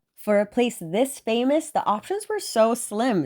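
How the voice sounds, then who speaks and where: On a very clean recording with a silent background, a woman speaks in an animated tone at a high pitch and a moderate pace. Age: 20s. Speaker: travel vlogger. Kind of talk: casual vlog narration.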